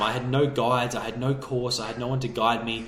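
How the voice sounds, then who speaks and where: Talking at a very fast pace in an energetic tone, a man with an Australian accent speaks at medium pitch, and audible room echo surrounds him. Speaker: online business coach. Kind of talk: motivational video talk.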